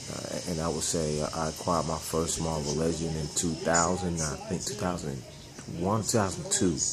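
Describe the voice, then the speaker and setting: At a moderate pace and in a relaxed tone, the speaker keeps a fairly even intonation amid noticeable background noise and audible room echo. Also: man, very deep, low pitch for a man. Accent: American. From Atlanta, Georgia (US South). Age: 30s. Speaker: toy collector vlogger. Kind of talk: casual vlog monologue. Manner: relaxed, halting with fillers.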